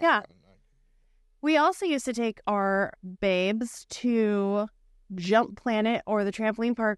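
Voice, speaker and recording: A woman's fairly high voice with a Pacific Northwest accent and lively intonation, at a fairly slow pace, dry and close with no echo, against a quiet background. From Bothell, Washington, US Pacific Northwest. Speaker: podcast co-host. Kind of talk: casual chat.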